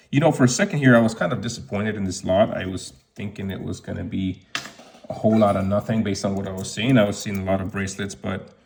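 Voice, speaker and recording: Here is a man with a plain, everyday voice and a fairly low pitch. He speaks at a fairly quick pace. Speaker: watch reseller YouTuber. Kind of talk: unboxing commentary. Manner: casual with fillers.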